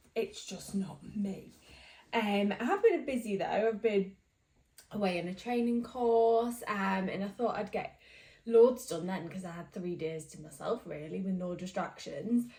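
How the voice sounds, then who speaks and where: Her voice is somewhat breathy, with a dark, mellow tone. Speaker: knitting vlogger. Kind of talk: casual chat.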